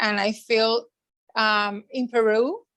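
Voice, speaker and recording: This woman has a fairly high pitch. She talks with a Spanish accent. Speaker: school social worker. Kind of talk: interview. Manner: halting.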